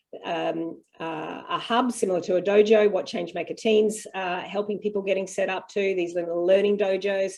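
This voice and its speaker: A woman with an Australian accent talks at a moderate pace with hardly any pauses. Her medium pitch stays monotone and flat. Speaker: homeschool parent and panel host. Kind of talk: video call Q&A panel. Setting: video call.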